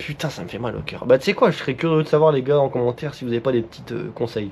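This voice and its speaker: Pitch variation is ordinary in this man's speech. Noticeable background noise can be heard. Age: 20s. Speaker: motorcycle vlogger. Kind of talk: casual vlog monologue. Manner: fast; halting speech.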